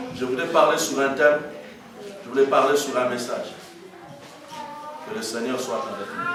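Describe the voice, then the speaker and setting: Over noticeable background noise and audible room echo, a man with a fairly high voice speaks at a moderate pace with ordinary pitch variation and long, frequent pauses. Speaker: evangelist preacher. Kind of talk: sermon. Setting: church. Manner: loud. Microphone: no microphone.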